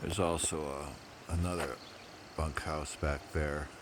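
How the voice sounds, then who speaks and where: With noticeable background noise behind him, a man speaks very slowly in a very deep, low pitch and a monotone, flat intonation. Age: 50s. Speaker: long-distance hiker. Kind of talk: casual vlog talk to camera. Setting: outdoors.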